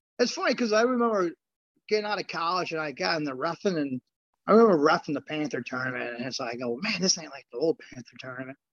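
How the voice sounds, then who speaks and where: A man talks at a very fast pace with a fairly high pitch, very wide pitch swings and big swings in loudness. The sound is dry and close with no echo. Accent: American. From US Midwest, Chicago south suburbs, Illinois. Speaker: former champion wrestler and grappler. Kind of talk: casual interview.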